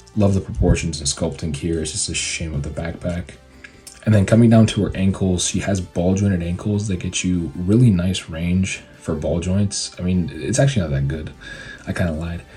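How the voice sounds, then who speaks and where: A man talks at a moderate pace with a very deep, low pitch and ordinary pitch variation. Music plays in the background. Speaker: toy reviewer. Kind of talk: casual review talk.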